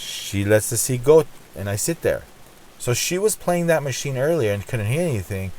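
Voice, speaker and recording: A man's medium-pitched, animated voice with very wide pitch swings at a moderate pace. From Armenian heritage. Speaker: slot gambling YouTuber. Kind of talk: casual vlog storytelling. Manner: talkative, animated.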